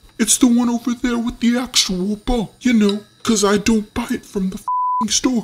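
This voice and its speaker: Using a put-on character voice pitched extremely high, a man talks at a moderate pace with fairly even intonation while sound effects play in the background. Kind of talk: comedic character monologue. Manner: sarcastic, ranting.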